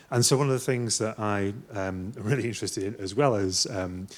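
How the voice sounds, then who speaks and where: This man speaks at a fairly quick pace, his fairly low voice showing ordinary pitch variation. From northwest England. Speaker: artist, musician and lecturer. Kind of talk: conference talk. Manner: hesitant, many fillers.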